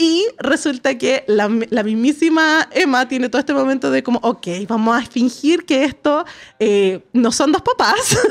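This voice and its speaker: Speaking fairly slowly, a woman uses a high voice with lively intonation. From Chile. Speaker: podcast host. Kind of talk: casual chat. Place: studio. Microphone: studio mic.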